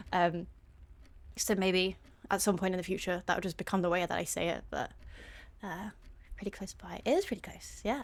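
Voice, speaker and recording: A woman at a fairly quick pace, with long, frequent pauses, big swings in loudness, vocal fry and fairly even intonation. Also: medium pitch for a woman. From southern England (Sussex). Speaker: video game streamer. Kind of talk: casual live-stream chat. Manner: hesitant, many fillers.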